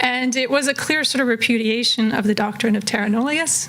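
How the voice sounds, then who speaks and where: Fairly quick speech from a woman with a fairly high pitch, noticeable background noise behind her. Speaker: political scientist and policy consultant. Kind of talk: conference presentation. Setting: room with live audience.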